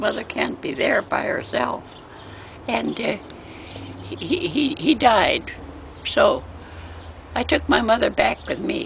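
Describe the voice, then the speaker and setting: A woman speaks at a very slow pace with long, frequent pauses. Noticeable background noise runs behind her. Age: 90s. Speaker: elderly interviewee. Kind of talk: casual interview. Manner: halting.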